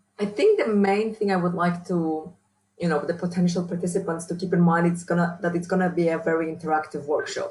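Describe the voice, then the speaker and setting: A woman speaks very fast in a strong Polish accent. Her intonation is monotone and flat. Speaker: university researcher and trainer. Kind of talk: interview.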